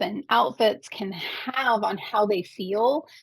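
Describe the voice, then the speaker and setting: A woman speaks in an ordinary speaking voice with an American accent. Her pitch is fairly high and her intonation lively. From Arkansas, US South. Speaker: advocate, former librarian. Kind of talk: interview.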